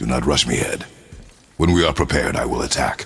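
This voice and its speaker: With music in the background, a man uses a put-on character voice that is very deep and low, moving at a fairly quick pace. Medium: video game. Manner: terse, gruff.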